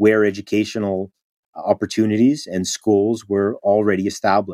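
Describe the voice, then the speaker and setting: In a plain, everyday voice, a man at a fairly low pitch keeps a moderate pace, with a dry, close sound and no echo. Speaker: history of education professor. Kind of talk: interview.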